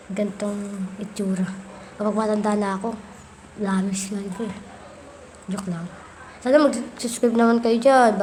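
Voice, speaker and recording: Amid noticeable background noise and audible room echo, a woman speaks at a moderate pace with fairly even intonation and long, frequent pauses. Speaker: gaming youtuber. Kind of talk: gameplay commentary. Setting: playing on tablet. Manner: soft-spoken.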